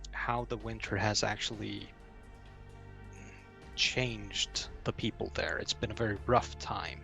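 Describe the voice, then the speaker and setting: Against music in the background, a man talks fairly slowly. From Iceland. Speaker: fantasy novel writer. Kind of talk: interview answer.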